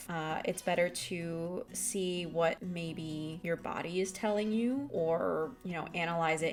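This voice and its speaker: A woman's calm, relaxed voice, fairly low in pitch with ordinary variation, over music in the background. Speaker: artist. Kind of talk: voiceover narration.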